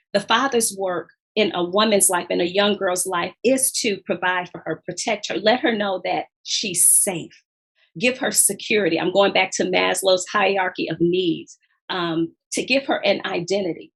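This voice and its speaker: In a plain, everyday voice, a woman speaks at a medium pitch. Her pace is moderate, with ordinary pitch variation. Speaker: author. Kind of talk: interview.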